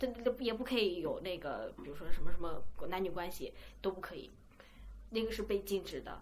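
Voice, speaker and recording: Noticeable background noise sits behind a woman talking at a fairly quick pace. Her loudness swings widely. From China. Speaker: podcast co-host. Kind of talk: casual chat.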